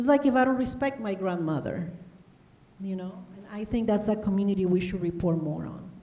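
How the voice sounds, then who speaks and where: At a fairly quick pace, a woman with a Spanish accent speaks at medium pitch with ordinary pitch variation and big swings in loudness, amid noticeable background noise and audible room echo. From Honduras. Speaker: broadcast journalist. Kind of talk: panel interview. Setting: stage with audience.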